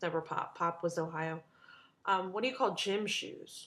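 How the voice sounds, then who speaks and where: A woman speaks with an American accent. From Maryland / DC area. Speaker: vlogger. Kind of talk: casual vlog, accent meme.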